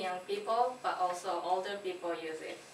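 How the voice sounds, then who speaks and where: A woman talks with ordinary pitch variation. Noticeable background noise and audible room echo fill the recording. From Japan. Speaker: English language student. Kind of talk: class presentation. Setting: classroom. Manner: halting.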